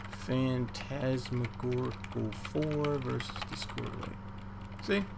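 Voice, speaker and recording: Noticeable background noise plus audible room echo. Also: man. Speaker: game streamer and caster. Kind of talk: casual livestream chat. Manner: quiet.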